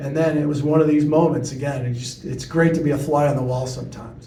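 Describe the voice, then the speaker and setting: This man has an American accent and a fairly high pitch, speaking at a moderate pace with fairly even intonation. His voice sounds somewhat breathy, with a dark, mellow tone. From US Midwest, Chicago. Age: 60s. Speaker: TV news reporter. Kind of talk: talk to audience, storytelling Q&A.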